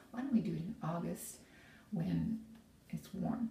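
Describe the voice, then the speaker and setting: The woman talks at a moderate pace, her voice carrying audible room echo. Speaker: vlogger. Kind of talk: casual vlog chat. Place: bathroom. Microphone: phone near.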